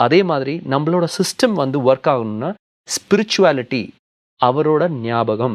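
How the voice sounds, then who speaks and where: A man with a fairly high pitch talks with lively intonation, recorded in a dry, close sound with no echo over a quiet background. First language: Punjabi (speaking Tamil). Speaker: film and TV actor. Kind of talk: interview.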